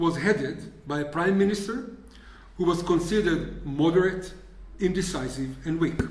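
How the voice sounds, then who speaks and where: The speaker has a non-native accent and ordinary pitch variation. Room echo is audible, and background noise is noticeable. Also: man. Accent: foreign. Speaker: historian. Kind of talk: lecture. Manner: reading from script.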